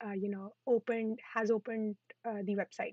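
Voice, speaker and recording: A woman's fairly high-pitched voice at a fairly quick pace, dry and close with no echo. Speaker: coding instructor. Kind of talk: tutorial. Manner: fast. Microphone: internet connection issues.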